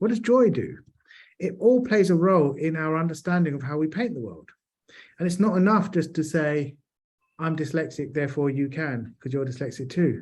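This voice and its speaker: Lively intonation marks a man's fairly high voice in a London accent at a moderate pace. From South London, England. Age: 40s. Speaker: charity chief executive. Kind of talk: panel discussion.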